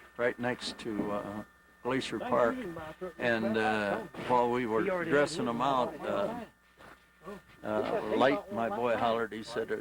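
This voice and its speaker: Against noticeable background noise, a man with an American accent speaks at a very slow pace and medium pitch, with ordinary pitch variation and long, frequent pauses. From Indiana. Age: 60s. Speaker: hunter. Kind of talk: casual interview.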